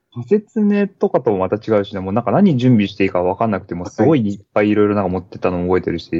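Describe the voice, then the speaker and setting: At a very fast pace, a man with a fairly low pitch talks with ordinary pitch variation. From Niigata, Japan. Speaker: school teacher and trail runner. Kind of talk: casual interview.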